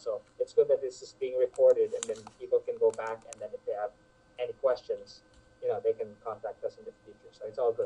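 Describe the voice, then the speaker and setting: A man talks very fast, his loudness swinging widely, in a dry, close recording with no echo. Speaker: options trader. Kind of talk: webinar wrap-up chat. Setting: online webinar. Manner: fast talker.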